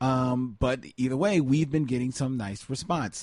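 With an American accent and an ordinary speaking voice, a man talks at medium pitch and a fairly slow pace against a quiet background. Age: 40s. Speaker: film podcast co-host. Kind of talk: casual chat. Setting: studio, in person with co-host.

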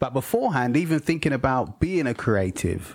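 A man speaks with a London accent. His pace is moderate and his pitch varies in an ordinary way. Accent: British (London). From England (London), Jamaican heritage. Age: 40s. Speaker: filmmaker and podcast host. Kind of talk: casual chat. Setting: video call.

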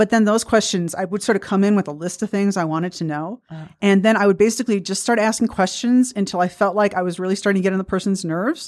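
A woman talks at a very fast pace with hardly any pauses. The recording is very clean, with a silent background. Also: medium pitch for a woman, ordinary pitch variation. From US Midwest, Milwaukee. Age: 50s. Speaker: physicist and author. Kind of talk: radio interview. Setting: radio studio.

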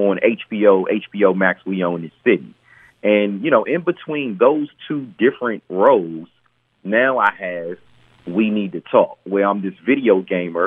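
A man speaks at a fairly slow pace in an ordinary speaking voice, his fairly low pitch showing ordinary pitch variation. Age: 40s. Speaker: actor. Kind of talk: interview.

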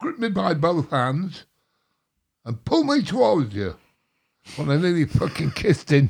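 A man talks at a fairly high pitch and a fairly slow pace, with very wide pitch swings and vocal fry. Long pauses come often. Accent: English. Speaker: drummer. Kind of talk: casual chat. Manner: slightly slurred, hesitant speech.

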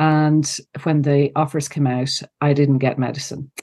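A woman with an Ulster accent speaks at a moderate pace in a very deep, low pitch with monotone, flat intonation against a quiet background. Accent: Irish (Cavan). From Ireland, County Cavan. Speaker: psychologist and coach. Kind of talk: interview conversation. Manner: halting.

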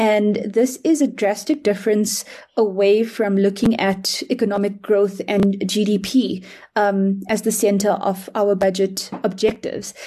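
Somewhat breathy and dark, mellow in tone, a woman speaks at a fairly slow pace with fairly even intonation. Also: medium pitch for a woman, very even loudness. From South Africa, Durban. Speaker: climate finance activist. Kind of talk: podcast panel discussion.

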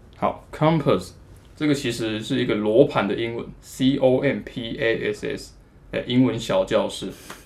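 A man with a Taiwanese accent, speaking at a fairly slow pace. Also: medium pitch for a man, ordinary pitch variation. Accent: Taiwanese Mandarin. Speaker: electronic music producer and DJ. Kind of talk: casual interview.

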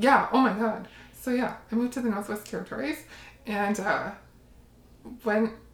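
A woman with a Canadian accent speaks in a somewhat breathy, fairly high voice with ordinary pitch variation. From Windsor, Ontario, Canada. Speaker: shadow work practitioner. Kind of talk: casual interview.

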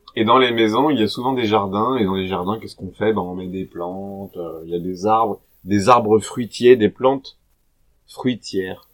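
A man's ordinary speaking voice at a fairly low pitch, with ordinary pitch variation, a moderate pace and big swings in loudness. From French Alps. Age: 30s. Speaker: podcast host for French learners. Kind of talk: casual chat. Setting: livestream from a cellar.

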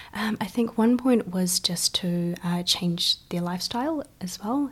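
A somewhat breathy woman at a fairly low pitch, speaking at a fairly slow pace. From China, moved to New Zealand as a child. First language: Chinese. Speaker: event organiser and photographer. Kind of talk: interview.

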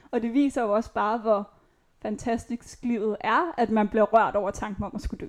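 A woman with a normal speaking voice talks at a moderate pace in a fairly high pitch, on a very clean recording with a silent background. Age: 20s. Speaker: chronically ill patient and nursing student. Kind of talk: personal testimony interview. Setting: at her home.

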